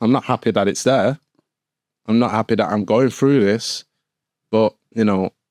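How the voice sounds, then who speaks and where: There is an accent from Manchester, heard in a dry, close sound with no echo. The recording is very clean, with a silent background. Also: man. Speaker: former firefighter. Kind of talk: interview. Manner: halting, many fillers.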